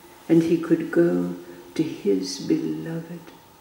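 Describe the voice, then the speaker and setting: Audible room echo surrounds a woman's voice as she speaks. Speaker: storyteller. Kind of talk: storytelling. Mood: calm, meditative. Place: home room.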